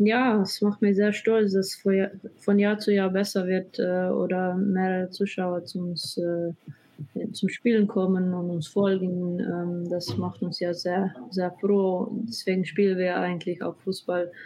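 With music in the background, a woman speaks at a very slow pace, her medium pitch held in fairly even intonation. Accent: Slovenian. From Slovenia. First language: Slovenian (speaking German). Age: 20s. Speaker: professional footballer. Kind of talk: interview. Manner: halting.

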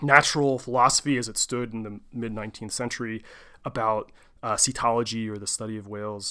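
A man's plain, everyday voice at a fairly quick pace, with fairly even intonation and a very clean recording over a silent background. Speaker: podcast host. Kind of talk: solo podcast monologue. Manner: casual, chatty.

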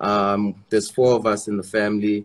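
This man has a South African accent and a fairly low pitch. His pace is moderate. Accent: South African (Xhosa). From South Africa, Eastern Cape. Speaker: rapper. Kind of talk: interview. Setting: video call.

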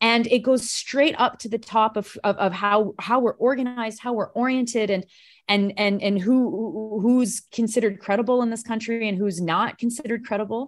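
With an unremarkable speaking voice and a Canadian accent, a woman of fairly high pitch talks at a moderate pace with hardly any pauses and fairly even intonation against a quiet background. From Canada, Ontario. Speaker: political commentator. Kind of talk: casual chat.

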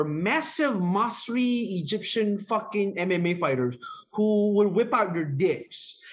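A man's high voice with very wide pitch swings and noticeable background noise. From Bahrain. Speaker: comedian. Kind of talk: casual chat.

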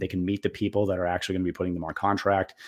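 A man with a Boston accent, fairly low pitch, and monotone, flat intonation, in a very clean recording with a silent background. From Boston area, Massachusetts. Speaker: retired Air Force officer, federal contracting consultant. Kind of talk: casual interview.

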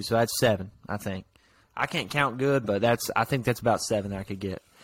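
A man with a plain, everyday voice, medium pitch, fairly even intonation and a fairly quick pace, in a very clean recording with a silent background. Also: big swings in loudness. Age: 19. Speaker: podcast co-host. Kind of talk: casual chat.

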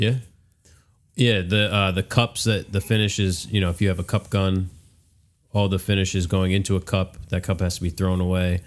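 A man in an American accent with very deep, low pitch, moderate pace, fairly even intonation and very even loudness, in a very clean recording with a silent background. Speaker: podcast host, woodworker.

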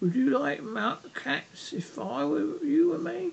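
In a put-on character voice at a middle pitch, the speaker moves at a fairly slow pace. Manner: impressive, indignant.

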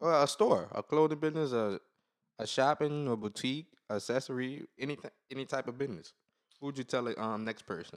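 The sound is dry and close, with no echo. A man speaks at a fairly quick pace in a medium pitch, with ordinary pitch variation. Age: 20s. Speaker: podcast host. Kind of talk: casual chat. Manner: animated.

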